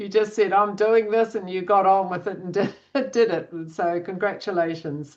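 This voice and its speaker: A woman speaks in an ordinary speaking voice at medium pitch. Her intonation is fairly even, with big swings in loudness. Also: moderate pace. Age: 60s. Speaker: coach. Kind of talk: webinar talk.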